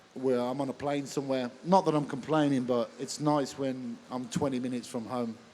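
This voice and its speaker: A man with a Birmingham accent speaks at a fairly high pitch with ordinary pitch variation. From Birmingham, England. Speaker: MMA referee. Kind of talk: live stage interview. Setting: stage with audience at expo.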